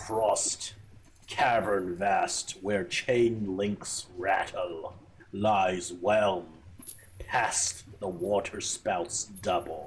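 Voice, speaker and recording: In a booming, put-on character voice, the speaker talks at a very slow pace with fairly even intonation. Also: man, fairly low pitch for a man. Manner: ominous, declamatory.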